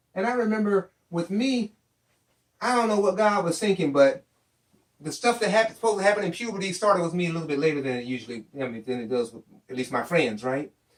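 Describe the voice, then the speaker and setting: In an animated tone, a man speaks fairly quickly with a high pitch and very wide pitch swings. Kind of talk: storytelling.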